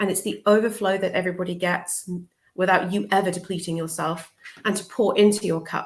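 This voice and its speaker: A woman with a British accent, fairly quick, in a flat, monotone delivery. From southern England. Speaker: social worker and life coach. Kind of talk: interview. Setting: live video show.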